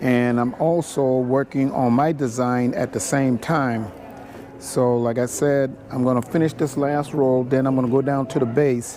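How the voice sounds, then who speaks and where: With noticeable background noise, a man speaks at very even loudness with fairly even intonation. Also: medium pitch for a man, moderate pace. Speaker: basket weaver. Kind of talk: tutorial. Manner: mumbling.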